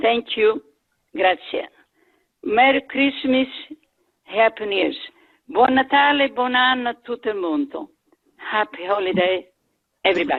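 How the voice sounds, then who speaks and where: With an Italian accent, a woman speaks in a high pitch at a moderate pace, using lively intonation and long, frequent pauses. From Italy. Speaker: community member. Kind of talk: casual chat.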